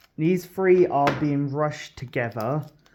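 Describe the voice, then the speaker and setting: The pace is fairly slow. The words come out mumbled. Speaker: card-opening YouTuber. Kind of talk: unboxing video commentary. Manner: mumbling; low energy, halting.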